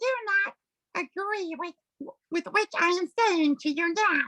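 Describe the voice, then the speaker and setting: Squeaky and pitched extremely high, a woman performs a put-on character voice at a fairly slow pace. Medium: stage play. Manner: pompous, grandiloquent.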